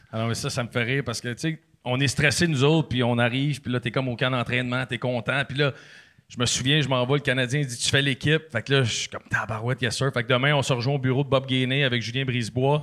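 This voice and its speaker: A man races along at a very fast pace, his medium-pitched voice flat and monotone. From Quebec, Sainte-Catherine. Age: 30s. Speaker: former hockey player and podcaster. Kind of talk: casual chat.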